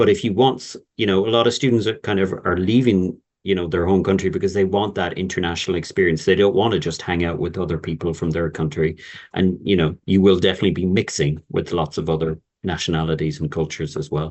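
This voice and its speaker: A man with an Irish accent, a very deep, low pitch, ordinary pitch variation and a very fast pace. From Ireland. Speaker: university representative. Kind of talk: webinar Q&A.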